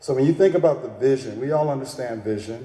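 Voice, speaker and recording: A man speaks with an American accent. Noticeable background noise and audible room echo surround his voice. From Texas. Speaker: keynote speaker and business coach. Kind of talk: keynote speech. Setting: stage with audience. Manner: animated.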